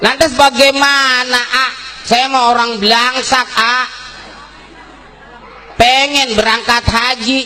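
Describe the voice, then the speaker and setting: Extremely high-pitched man with a Jakarta accent, raised and projected, at a very slow pace with fairly even intonation, amid noticeable background noise. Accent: Betawi. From Karawang, West Java. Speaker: Islamic preacher. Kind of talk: humorous religious sermon. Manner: humorous.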